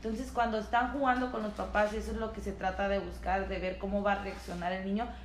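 Speaking at a very fast pace with hardly any pauses, a woman is heard through audible room echo and noticeable background noise. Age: 20s. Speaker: podcast co-host. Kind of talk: casual chat.

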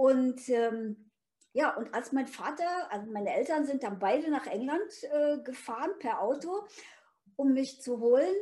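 Speaking at a fairly slow pace, a woman with a high pitch and a dark, mellow tone uses lively intonation. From Thuringia, eastern Germany (near Erfurt), left at 8. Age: 70s. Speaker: author and motivational speaker. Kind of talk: interview conversation. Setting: recorded in person in Erfurt. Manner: animated.

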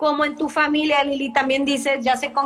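Projecting her voice, a woman speaks at a moderate pace with a high pitch, a bright, sharp tone and monotone, flat intonation. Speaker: life and business coach. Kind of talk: casual interview.

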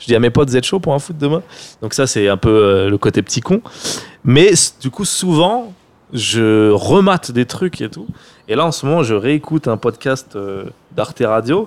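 Speaking at a medium pitch and a fairly slow pace, a man swings his pitch very widely and leaves long, frequent pauses. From France, Seine-Saint-Denis (93). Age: 30s. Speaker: film director and online creator. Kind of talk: casual interview chat.

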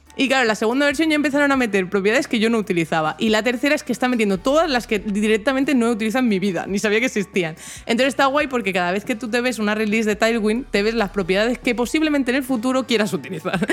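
Speaking very fast with hardly any pauses, a woman with a fairly high pitch keeps her loudness very even and her intonation lively. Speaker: tech podcast co-host. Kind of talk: casual chat.

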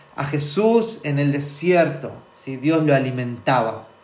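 There is audible room echo as a man with a fairly high pitch speaks at a very slow pace with ordinary pitch variation. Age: 40s. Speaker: preacher. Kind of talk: sermon.

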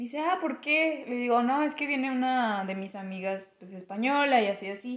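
The intonation sounds lively. The delivery is fairly slow. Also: woman. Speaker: podcast co-host. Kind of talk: casual chat.

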